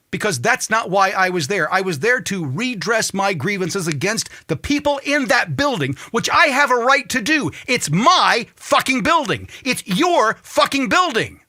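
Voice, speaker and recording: Raising and projecting his high-pitched voice, a man speaks at a moderate pace with very wide pitch swings and hardly any pauses. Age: 50s. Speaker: talk show host. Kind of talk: political commentary rant. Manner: animated, heated.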